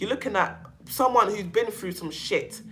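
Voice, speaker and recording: With a London accent, the speaker uses an animated tone and very wide pitch swings at a moderate pace. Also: woman. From London, England. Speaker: self-help channel host on narcissistic abuse. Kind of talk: casual livestream chat with viewers. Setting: livestream.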